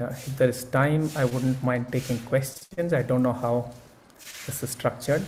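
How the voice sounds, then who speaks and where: A man with a medium-pitched, somewhat breathy voice speaks at a moderate pace with fairly even intonation, and audible room echo surrounds him. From India. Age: 70s. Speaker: speaker at an academic conference. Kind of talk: keynote talk; answering audience questions. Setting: conference session with audience.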